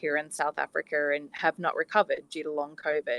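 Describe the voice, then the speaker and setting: A woman with an Australian accent, in a dry, close sound with no echo. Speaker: scientist, caller with long covid. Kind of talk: question from audience in a live discussion.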